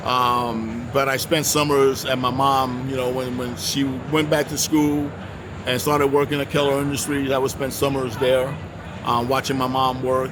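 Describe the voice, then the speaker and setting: Monotone, flat intonation from a man at a medium pitch and moderate pace, amid noticeable background noise and audible room echo. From Puerto Rico and mainland US. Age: 60s. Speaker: welding instructor. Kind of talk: interview. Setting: trade show booth. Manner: halting.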